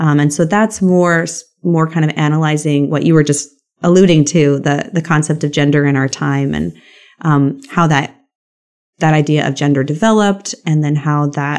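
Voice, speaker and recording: A woman with a very deep, low pitch speaks at a moderate pace in an American accent, her intonation fairly even. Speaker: professor and author. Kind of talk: interview conversation.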